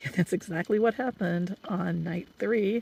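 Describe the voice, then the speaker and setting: A woman speaks at a moderate pace with lively intonation and vocal fry. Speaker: solo camping vlogger. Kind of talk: casual talk to camera.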